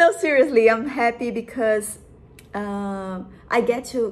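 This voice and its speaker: A woman talks very slowly, her pitch varying by an ordinary amount. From Brazil. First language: Portuguese. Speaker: vlogger. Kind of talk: casual vlog monologue. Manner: halting, hesitant.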